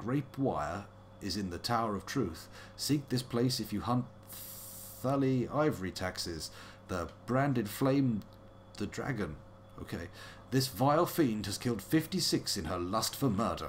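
A somewhat breathy man with a British accent speaks at a fairly slow pace. His intonation is lively over light background noise. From UK. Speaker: let's play streamer; game streamer. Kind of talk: casual gameplay commentary. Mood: playful, wry.

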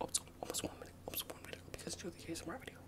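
The pace is very fast. Everything is whispered. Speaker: ASMR creator. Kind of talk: ASMR whisper video. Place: home room. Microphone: phone near.

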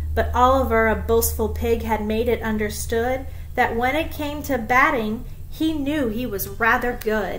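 Music plays in the background as a woman speaks in a gentle tone at a fairly slow pace. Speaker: schoolteacher. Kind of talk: bedtime story read-aloud of a rhyming picture book for children. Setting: home video recording. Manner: gentle, measured storyteller's cadence following the rhyme; friendly, casual, with frequent ums in her own talk. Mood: calm, expressive storytelling. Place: home room. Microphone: webcam.

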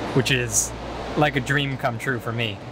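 A man's voice comes through with a dry sound with no echo and noticeable background noise. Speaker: van life vlogger. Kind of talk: casual vlog chat. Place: car. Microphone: phone near.

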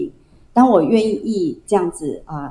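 Her pitch swinging very widely, a woman speaks at a moderate pace with audible room echo. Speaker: pastor. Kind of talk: sermon. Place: church. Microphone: handheld.

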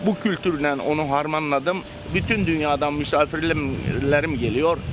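A man speaks fairly slowly while noticeable background noise carries on behind him. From Bodrum, Turkey. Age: 70s. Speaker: sponge diver and boat captain. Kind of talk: interview answer.

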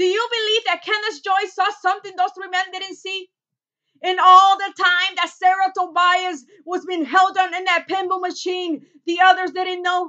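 Against a quiet background, a woman speaks at an extremely high pitch and a moderate pace. Her intonation is monotone and flat. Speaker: actor doing an audition monologue. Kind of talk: dramatic monologue, courtroom closing argument. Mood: intense, indignant. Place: home room. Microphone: webcam.

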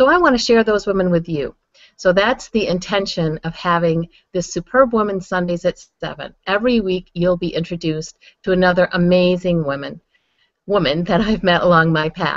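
A woman's dry, echo-free voice with ordinary pitch variation against a quiet background. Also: moderate pace. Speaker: online show host. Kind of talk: host introduction monologue. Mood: warm and upbeat. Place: home room. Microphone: webcam.

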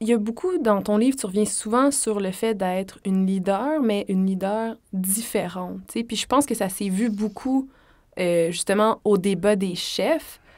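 A woman speaks at a fairly slow pace with a fairly high pitch and ordinary pitch variation. The recording is very clean, with a silent background. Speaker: podcast host. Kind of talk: casual chat.

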